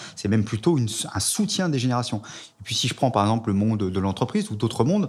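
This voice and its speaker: In a very clean recording with a silent background, a somewhat breathy man speaks at medium pitch. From France. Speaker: sociologist. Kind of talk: interview.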